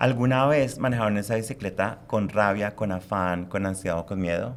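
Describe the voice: At a fairly quick pace, a man speaks with fairly low pitch and fairly even intonation.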